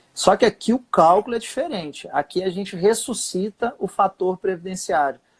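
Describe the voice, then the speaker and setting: The man's voice is high-pitched, with ordinary pitch variation and hardly any pauses. The sound is dry and close, with no echo. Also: moderate pace. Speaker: social security lawyer. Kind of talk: live webinar explanation.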